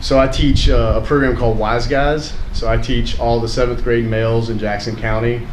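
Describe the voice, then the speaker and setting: There is noticeable background noise and audible room echo as a man speaks. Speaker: teacher of middle school health program. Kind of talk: casual public talk. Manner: loud; halting.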